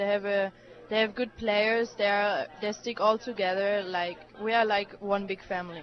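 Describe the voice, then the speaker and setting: A woman speaks in a German accent at medium pitch and a moderate pace. Her intonation is fairly even, with noticeable background noise behind her. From Germany. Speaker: college tennis player. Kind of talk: radio interview. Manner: hesitant, many fillers.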